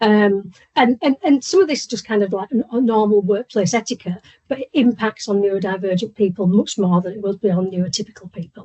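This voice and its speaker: A woman talks at a fairly quick pace with a medium pitch and ordinary pitch variation. Her voice is somewhat breathy. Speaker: workplace inclusion trainer. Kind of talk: presentation. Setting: video call. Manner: fast.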